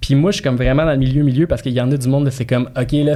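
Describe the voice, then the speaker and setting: A man speaks very fast at a medium pitch, his tone dark and mellow. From immigrant to Quebec. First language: not French (speaking French). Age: 30s. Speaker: real estate broker and marketing coach. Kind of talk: casual podcast interview. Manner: animated, colloquial.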